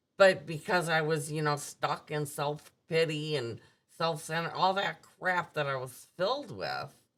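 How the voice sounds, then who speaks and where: In a very clean recording with a silent background, a woman with a very deep, low pitch speaks fairly slowly, her pitch varying in an ordinary way. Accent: Upper Midwest. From US Midwest, suburban Milwaukee. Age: 60s. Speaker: recovering alcoholic sharing her story. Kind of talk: personal testimony in interview.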